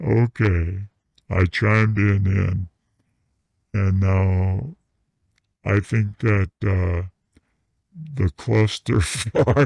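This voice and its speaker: In a put-on character voice pitched fairly low, a man speaks very slowly with long, frequent pauses. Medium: comedy sketch. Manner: giggly, crude.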